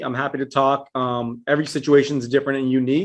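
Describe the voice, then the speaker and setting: Against a quiet background, a man with an ordinary speaking voice talks at a fairly quick pace and medium pitch, his intonation fairly even. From Texas, El Paso. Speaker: IRA specialist. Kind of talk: interview.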